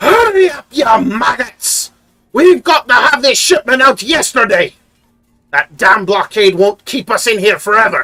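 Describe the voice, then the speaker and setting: In a put-on character voice, a man speaks at an extremely high pitch. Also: moderate pace. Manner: bossy, angry, barking orders.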